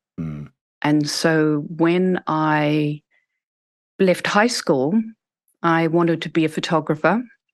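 A woman speaks very slowly in a very deep, low voice with a New Zealand accent, ordinary pitch variation and long, frequent pauses against a quiet background. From New Zealand, small town. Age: 50s. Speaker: school founder. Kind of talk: interview conversation.

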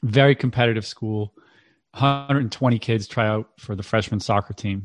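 In an ordinary speaking voice, a man talks at a fairly quick pace with fairly low pitch and fairly even intonation, the sound dry and close with no echo against a quiet background. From central Massachusetts, Worcester. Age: 40s. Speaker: parenting coach and author. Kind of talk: interview.

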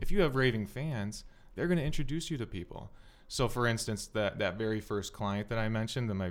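A man's fairly low voice in an Upper Midwest accent, on a very clean recording with a silent background. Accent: Upper Midwest American. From Minnesota, South Metro. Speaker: accountant. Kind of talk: podcast interview.

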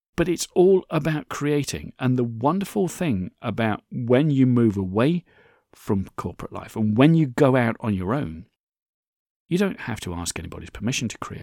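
With a dark, mellow tone at medium pitch, a man speaks with very wide pitch swings in a dry, close sound with no echo. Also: moderate pace, very clean recording, silent background. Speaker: podcast host. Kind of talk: solo podcast monologue. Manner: conversational.

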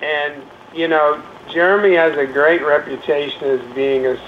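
Over noticeable background noise, a man with a fairly high pitch speaks at a fairly slow pace. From Maine. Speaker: entertainment car expert. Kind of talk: casual chat.

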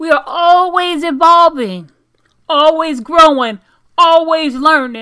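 Raised and projected, a woman's voice has an extremely high pitch and a bright, sharp tone. She talks at a very slow pace with ordinary pitch variation. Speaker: motivational podcaster. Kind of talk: pep talk, affirmations with a preacher-like tone. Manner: animated; emphatic, commanding, motivational.

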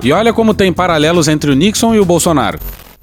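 There is noticeable background noise behind this man. He talks at a fairly quick pace with lively intonation. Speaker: podcast host. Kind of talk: satirical news commentary.

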